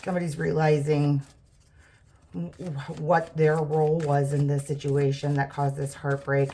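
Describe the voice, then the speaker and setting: A somewhat breathy woman's voice, dark and mellow, very deep and low in pitch, with ordinary pitch variation. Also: moderate pace. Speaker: tarot reader. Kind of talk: tarot reading monologue. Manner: stuttering; casual, filler-heavy.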